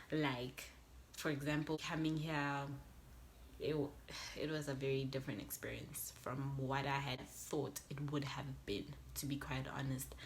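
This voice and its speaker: A woman's very deep, low, monotone voice, fairly slow, with long, frequent pauses and audible room echo. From South Africa, west Johannesburg. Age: 20s. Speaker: YouTuber. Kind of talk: casual vlog talk to camera.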